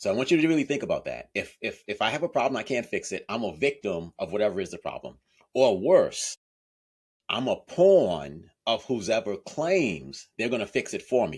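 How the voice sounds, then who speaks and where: The speech comes at a moderate pace on a very clean recording with a silent background. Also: man. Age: 60s. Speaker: author and accountability coach. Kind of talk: interview.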